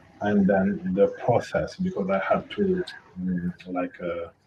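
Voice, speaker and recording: A man with a Senegalese accent speaks at a fairly slow pace. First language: French. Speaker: international student. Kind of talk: panel discussion. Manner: hesitant, many fillers.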